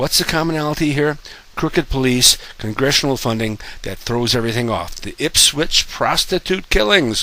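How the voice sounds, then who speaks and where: Noticeable background noise sits behind a man at medium pitch. He talks at a moderate pace with lively intonation. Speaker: conspiracy video maker. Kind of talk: monologue to camera. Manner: halting, many fillers.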